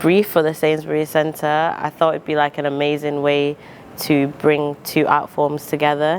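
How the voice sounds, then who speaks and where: A woman speaks with a very deep, low pitch over noticeable background noise. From Zimbabwe, now Manchester. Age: 20s. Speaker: rapper and poet. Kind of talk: interview monologue. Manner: hesitant with fillers.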